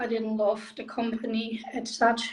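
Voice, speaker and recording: A woman's very slow, monotone delivery with flat intonation in a German accent. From Germany. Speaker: direct sales makeup consultant. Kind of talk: interview.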